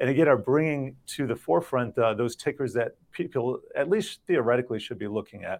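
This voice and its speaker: In a quiet, dry and close recording with no echo, a man with a medium-pitched voice talks fairly quickly with lively intonation and hardly any pauses, an unremarkable speaking voice. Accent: American. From US, Miami. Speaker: financial markets reporter. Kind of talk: interview.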